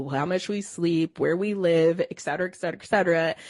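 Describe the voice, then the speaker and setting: This woman has a plain, everyday voice. Her pitch is fairly low, with fairly even intonation. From Cleveland, Ohio. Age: 30s. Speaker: wellness educator and personal trainer. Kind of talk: interview.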